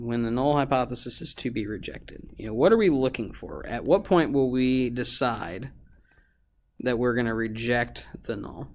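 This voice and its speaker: A man with an ordinary speaking voice at medium pitch, moderate pace and ordinary pitch variation, in a very clean recording with a silent background. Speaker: high school teacher. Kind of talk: lecture. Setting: recorded video lesson. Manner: casual, many fillers.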